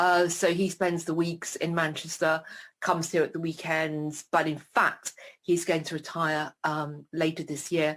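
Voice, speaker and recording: The speaker has a British accent and talks at a fairly slow pace with monotone, flat intonation. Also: woman, fairly low pitch for a woman. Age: 60s. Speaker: retired professor living with MS. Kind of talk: interview. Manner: hesitant with many fillers.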